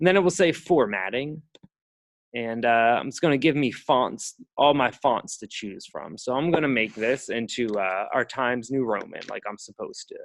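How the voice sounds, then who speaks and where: Lively intonation in a man's medium-pitched voice, kept to a moderate pace. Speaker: writing center workshop instructor. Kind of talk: tutorial. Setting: classroom workshop, recorded. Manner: casual, hesitant with fillers.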